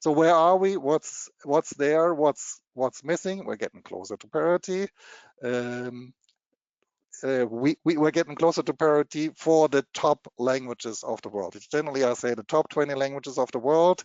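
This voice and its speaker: Speaking with a German accent, a man keeps a moderate pace, a fairly high pitch and ordinary pitch variation. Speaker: machine translation technology presenter. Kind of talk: webinar presentation. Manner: halting, many repetitions and fillers.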